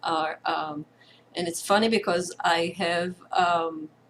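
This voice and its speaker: Very slowly and with fairly even intonation, a woman speaks in an Israeli accent at a fairly low pitch. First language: Hebrew. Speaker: participant. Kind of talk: sharing circle. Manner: halting.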